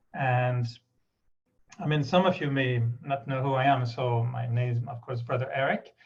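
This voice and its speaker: At a moderate pace, a man with a medium-pitched, somewhat breathy voice speaks with fairly even intonation and long, frequent pauses. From Quebec, Canada (Montreal). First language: French. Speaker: spiritual speaker. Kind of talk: spiritual talk.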